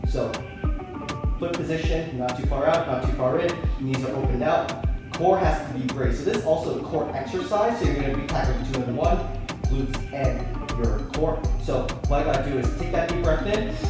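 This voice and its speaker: With clear music in the background and audible room echo, a man talks at a fairly quick pace. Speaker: fitness trainer. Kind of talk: tutorial. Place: gym. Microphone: camera far.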